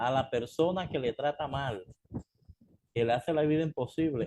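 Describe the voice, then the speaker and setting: Somewhat breathy and dark, mellow in tone, a man with a fairly high pitch talks at a fairly slow pace with ordinary pitch variation, in a dry, close sound with no echo. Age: 60s. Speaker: pastor. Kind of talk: sermon. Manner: calm.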